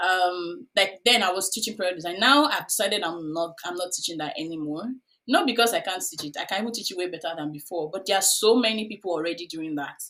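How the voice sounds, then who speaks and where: The pitch shifts in an ordinary way. The delivery is very fast. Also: woman, medium pitch for a woman. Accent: Nigerian. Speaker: UX career coach. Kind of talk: podcast interview. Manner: hesitant, many fillers.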